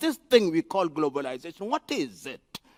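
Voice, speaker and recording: The recording is dry and close, without any echo. It's a man's voice. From Kenya. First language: African mother tongue. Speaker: professor. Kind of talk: conference speech. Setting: forum with panel and audience. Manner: rhetorical, emphatic.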